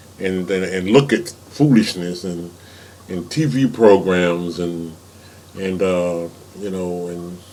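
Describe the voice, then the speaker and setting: This is a man talking. There is audible room echo. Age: 70s. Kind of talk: informal sermon. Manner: halting, many repeated words.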